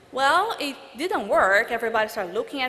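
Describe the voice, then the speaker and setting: There is audible room echo and noticeable background noise as a woman speaks at a moderate pace with a Portuguese accent. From Brazil. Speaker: international law graduate. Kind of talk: commencement speech. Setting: stage with audience.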